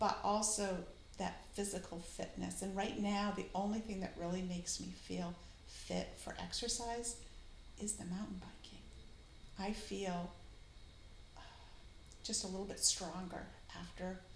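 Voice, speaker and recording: A woman with an American accent speaks fairly slowly with long, frequent pauses, amid audible room echo and noticeable background noise. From Maine, US. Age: 60s. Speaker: retired teacher. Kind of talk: casual chat.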